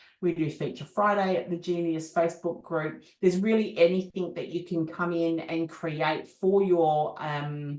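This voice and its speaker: A woman with an Australian accent speaks at a moderate pace in a fairly low pitch, with fairly even intonation and hardly any pauses. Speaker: business coach. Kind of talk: product demo.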